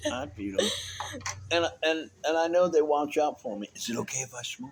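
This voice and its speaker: Over noticeable background noise, a man with a fairly high pitch talks at a moderate pace, his loudness swinging widely. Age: 60s. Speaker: homeless veteran traveler. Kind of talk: casual chat. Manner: halting.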